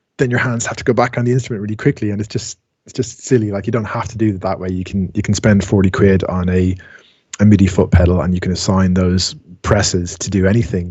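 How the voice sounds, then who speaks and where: Against a quiet background, a man with an Irish accent talks at a very fast pace. His voice is fairly low, somewhat breathy, and fairly even in intonation. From Ireland. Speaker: music technology tutor. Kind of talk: online class tutorial. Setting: video call. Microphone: video call.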